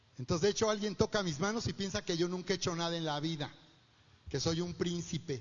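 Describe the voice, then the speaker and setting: His pitch is high and his intonation lively. The man talks at a fairly quick pace. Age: 60s. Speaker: pastor. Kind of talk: sermon.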